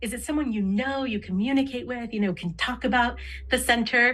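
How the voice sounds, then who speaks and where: A woman speaks with a plain, everyday voice at a fairly quick pace, her fairly high pitch showing ordinary pitch variation. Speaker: diversity trainer and interpreter. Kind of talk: training presentation.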